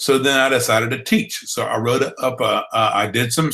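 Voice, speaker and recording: Speaking in a bright, sharp tone, a man has a Southern US accent. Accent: Southern accent, drawl. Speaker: blogging trainer. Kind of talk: online training webinar. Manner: conversational, with fillers.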